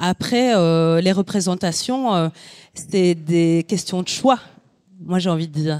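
Very slow and fairly low in pitch, a woman speaks with a dark, mellow tone and ordinary pitch variation, in a dry, close sound with no echo on a very clean recording with a silent background. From Belgium, Sicilian immigrant family. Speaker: photographer. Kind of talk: panel discussion. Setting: venue with live audience.

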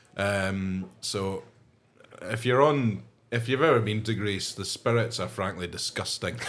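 A man with a fairly low pitch speaks at a fairly slow pace with ordinary pitch variation. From Scotland. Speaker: podcast co-host, whisky fan. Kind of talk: casual chat. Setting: pub back room.

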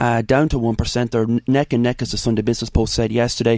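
Talking at a very fast pace, a man with an Irish accent uses a medium pitch. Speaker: politician. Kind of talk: radio interview.

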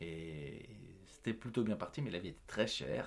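Marked by vocal fry, a man's very deep, low voice moves with ordinary pitch variation. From France, Paris suburbs (Yvelines), Portuguese parents. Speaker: actor and comedian. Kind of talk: interview. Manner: hesitant with many fillers.

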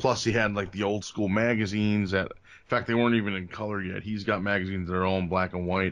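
A man's fairly low voice with an American accent, very fast, with hardly any pauses and monotone, flat intonation. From New Jersey, Bergen County. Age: 40s. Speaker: pro wrestler. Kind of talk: casual chat. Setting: video call.

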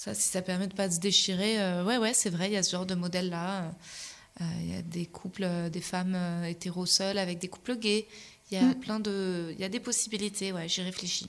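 A woman with an unremarkable speaking voice talks at a fairly quick pace, at medium pitch with fairly even intonation. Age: 30s. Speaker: comedian and podcaster. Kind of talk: casual interview.

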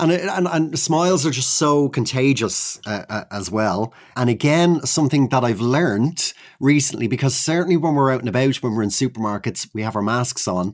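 An Irish accent comes through with lively intonation. The recording is very clean, with a silent background. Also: man, medium pitch for a man, moderate pace. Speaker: podcast host. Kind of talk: casual interview.

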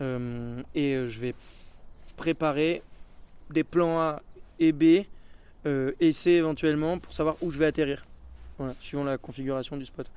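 A man's fairly high pitch and fairly even intonation at a fairly slow pace, with long, frequent pauses. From French Alps (Hautes-Alpes). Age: 20s. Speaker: BASE jumper and highline athlete. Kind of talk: casual interview and vlog commentary.

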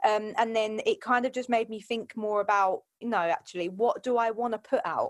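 In a very clean recording with a silent background and a dry, close sound with no echo, a woman with a plain, everyday voice speaks at a fairly quick pace and a fairly high pitch with fairly even intonation. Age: 20s. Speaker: fitness coach. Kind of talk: casual chat.

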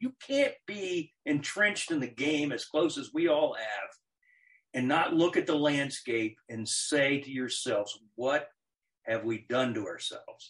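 A man speaks at a fairly slow pace in a plain, everyday voice, his fairly high pitch carried by lively intonation. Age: 60s. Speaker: former college athletics administrator. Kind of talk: casual interview. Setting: video call.

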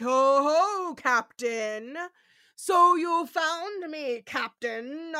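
A woman uses a put-on character voice pitched high. She speaks at a very slow pace. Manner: spooky, eerie.

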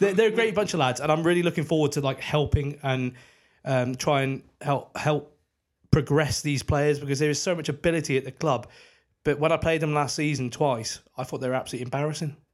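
A normal speaking voice from a man, fairly high in pitch and fairly quick, with ordinary pitch variation, on a very clean recording with a silent background. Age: 30s. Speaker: cricketer and podcast co-host. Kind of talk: casual chat.

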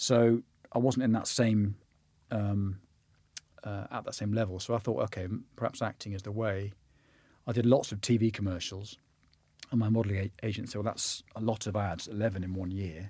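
In a West Country accent, a man with a fairly low pitch and a dark, mellow tone talks at a moderate pace with fairly even intonation and long, frequent pauses, on a very clean recording with a silent background. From southwest England. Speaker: actor. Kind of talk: interview conversation.

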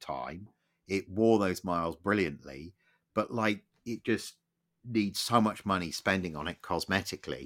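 On a very clean recording with a silent background and a dry, close sound with no echo, a man talks at a very deep, low pitch and a moderate pace with ordinary pitch variation. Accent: English. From England. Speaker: motoring historian, podcast co-host. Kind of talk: casual chat.

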